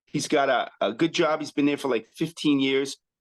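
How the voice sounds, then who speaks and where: A man speaks with an American accent. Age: 60s. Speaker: chiropractor. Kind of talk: interview. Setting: podcast.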